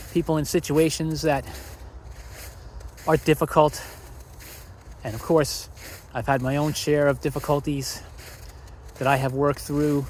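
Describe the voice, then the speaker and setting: A man's somewhat breathy voice, fairly high in pitch, moves at a moderate pace. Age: 60s. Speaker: vlogger. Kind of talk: casual monologue. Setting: outdoors. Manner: walking while talking.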